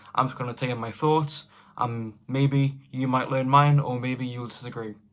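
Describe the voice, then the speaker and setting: A British accent comes through in flat, monotone delivery at a very fast pace. The recording is very clean, with a silent background. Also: man. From United Kingdom. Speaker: record collector YouTuber. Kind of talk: casual vlog advice.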